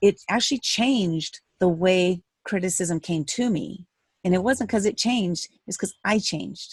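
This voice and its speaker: A woman with an American accent has a plain, everyday voice at medium pitch with ordinary pitch variation. She goes at a fairly slow pace, and the sound is dry and close with no echo. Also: quiet background. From USA. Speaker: author and speaker. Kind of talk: interview.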